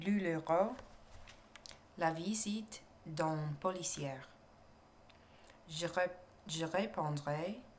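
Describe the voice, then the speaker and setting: A soft-spoken woman with an American accent talks at a very slow pace. Her pauses are long and frequent. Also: fairly low pitch for a woman, ordinary pitch variation. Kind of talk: ASMR story reading, murder mystery. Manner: soft-spoken, relaxing.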